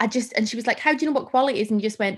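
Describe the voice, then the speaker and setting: A woman's fairly high pitch in a very clean recording with a silent background. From northern England, Carlisle area. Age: 30s. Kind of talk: casual chat.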